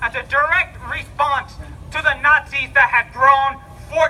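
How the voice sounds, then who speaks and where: Over music in the background, a man with an extremely high pitch projects a raised voice at a very slow pace, his intonation fairly even. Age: 20s. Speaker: college student. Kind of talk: public speech at a rally. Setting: outdoors vigil crowd. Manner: stuttering, repetitive.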